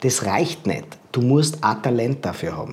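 The man's voice has a dark, mellow tone, is somewhat breathy, and shows ordinary pitch variation. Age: 40s. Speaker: body language expert and speaker. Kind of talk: interview.

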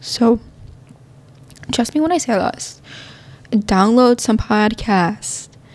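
Ordinary pitch variation in a woman's fairly high voice. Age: 20s. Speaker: podcast host. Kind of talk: casual monologue. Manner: animated.

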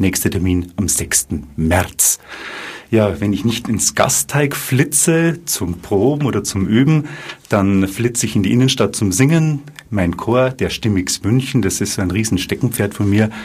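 Noticeable background noise sits behind the voice. A man talks fairly slowly with lively intonation. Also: fairly low pitch for a man. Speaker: bank advisor and amateur saxophonist. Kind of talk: live radio interview.

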